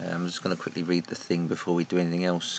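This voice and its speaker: In a very deep, low voice, a man speaks in a flat monotone. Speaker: train simulator gameplay commentator. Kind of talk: gameplay commentary. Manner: soft-spoken.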